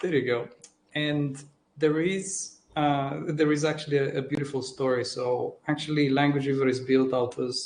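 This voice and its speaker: A man with a Romanian accent, fairly high-pitched, with fairly even intonation. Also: moderate pace. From Romania, Transylvania (Cluj). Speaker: tech executive. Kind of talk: panel interview. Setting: live stream. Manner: halting, many repeated words.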